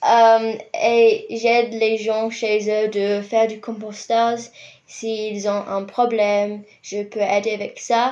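Very slow, monotone, flat speech from a woman with a fairly high pitch, over a quiet background. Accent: English. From New Zealand, Rotorua. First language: English (speaking French). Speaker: university student and compost educator. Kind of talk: radio interview. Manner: hesitant.

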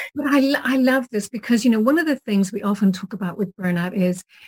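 A woman speaks with an Irish accent and ordinary pitch variation, her voice somewhat breathy. The sound is dry and close, with no echo. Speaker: podcast host. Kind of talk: interview conversation.

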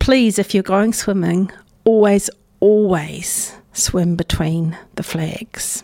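In a New Zealand accent, a woman speaks at a very slow pace with a medium pitch and a dark, mellow tone. The recording is very clean, with a silent background. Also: ordinary pitch variation. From New Zealand, North Island (Hawke's Bay area). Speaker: community radio host. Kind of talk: casual radio chat between songs. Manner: relaxed, conversational.

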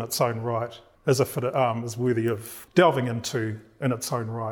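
A somewhat breathy man with a New Zealand accent, medium in pitch, at a moderate pace. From New Zealand (Māori). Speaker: professor. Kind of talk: lecture.

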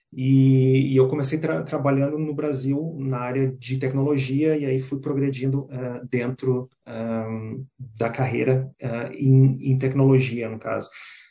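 A man talks with hardly any pauses. His intonation is monotone and flat. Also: medium pitch for a man, fairly slow pace. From southern Brazil, Porto Alegre. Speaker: career and business coach. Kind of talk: interview. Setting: community radio. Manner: halting, many fillers.

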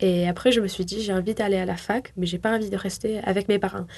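Her voice sits at a medium pitch, and the woman keeps her intonation fairly even. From southwest France (near Toulouse, Tarn). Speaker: university student. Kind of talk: radio interview.

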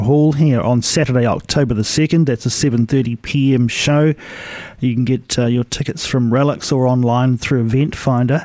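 Speaking with a New Zealand accent, a man has a dark, mellow tone at medium pitch, talking at a moderate pace with fairly even intonation and very even loudness. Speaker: radio host. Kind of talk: radio interview.

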